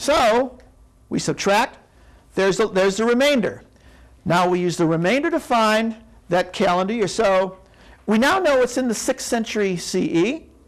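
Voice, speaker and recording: Delivered at a moderate pace with long, frequent pauses, the speech sits in a very clean recording with a silent background. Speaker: lecturer. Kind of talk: lecture. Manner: halting, many restarts.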